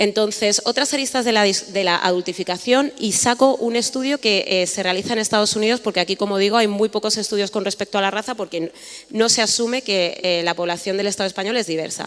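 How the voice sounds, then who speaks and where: A woman with a Madrid accent, medium in pitch with ordinary pitch variation, talking at a very fast pace with hardly any pauses over noticeable background noise. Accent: Madrid-area Spanish (Alcorcón). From Spain, Alcorcón (Madrid region). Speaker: panelist, writer on race. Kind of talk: panel talk.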